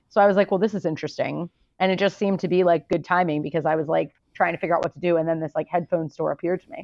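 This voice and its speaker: A woman's fairly low voice at a very fast pace, with fairly even intonation and big swings in loudness. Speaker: podcast co-host. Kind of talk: research discussion; casual chat. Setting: phone call while traveling.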